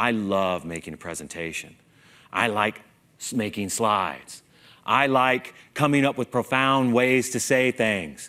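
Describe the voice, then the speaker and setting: Slowish and animated, a man talks at a medium pitch with lively intonation and a fairly slow pace. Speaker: conference speaker, engineer. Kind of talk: stage talk with humor. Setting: stage with audience. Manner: animated, humorous.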